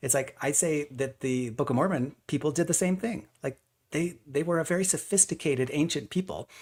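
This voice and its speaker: In a very clean recording with a silent background, a man with a fairly high, somewhat breathy voice talks at a fairly quick pace with very even loudness and ordinary pitch variation. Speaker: amateur researcher presenting a model. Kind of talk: presentation with slides. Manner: fast.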